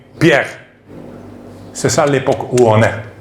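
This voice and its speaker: A man is speaking, with audible room echo. Noticeable background noise runs underneath. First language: not French (speaking French). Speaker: preacher. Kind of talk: sermon. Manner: halting.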